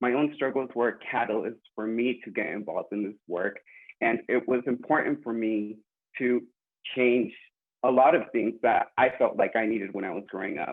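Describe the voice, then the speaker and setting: With an American accent and an ordinary speaking voice, a man talks at a moderate pace in a medium pitch with ordinary variation. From California, Woodland. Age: 20s. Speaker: student mental health advocate. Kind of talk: personal introduction on panel.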